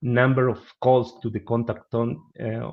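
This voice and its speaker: Over a quiet background, a man with a Spanish accent and medium pitch speaks at a fairly slow pace. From Argentina. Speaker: business analyst. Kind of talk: webinar presentation and Q&A. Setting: online webinar. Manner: halting.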